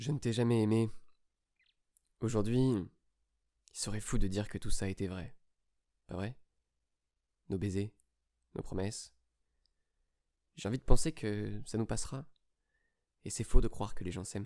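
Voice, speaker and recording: This man's fairly low voice has a dark, mellow tone, ordinary pitch variation, and a moderate pace, with big swings in loudness and long, frequent pauses. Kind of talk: literary reading of a love letter, spoken to himself.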